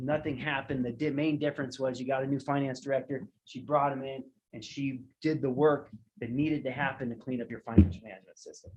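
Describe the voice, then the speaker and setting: Somewhat breathy speech comes at a very fast pace with fairly even intonation. The loudness swings a lot. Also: man, medium pitch for a man. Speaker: auditor. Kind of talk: audit report presentation to a village board. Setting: public board meeting.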